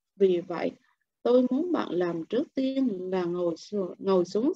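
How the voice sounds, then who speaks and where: In a quiet background with a dry sound and no echo, a woman speaks at a fairly slow pace with very wide pitch swings. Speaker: book club member; book club reader. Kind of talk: reading aloud. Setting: video call. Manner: expressive. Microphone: video call.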